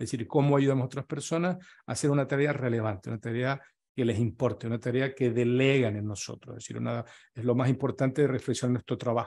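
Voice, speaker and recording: Against a quiet background, the voice moves at a very fast pace with fairly even intonation. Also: man. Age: 60s. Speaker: retired business consultant and workshop speaker; speaker. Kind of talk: workshop talk. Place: home room. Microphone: webcam.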